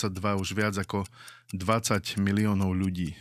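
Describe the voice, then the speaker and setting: With monotone, flat intonation, a man speaks at a fairly low pitch in a very clean recording with a silent background. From Slovakia. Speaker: podcast host. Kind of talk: scripted narration; interview. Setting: improvised studio in a museum.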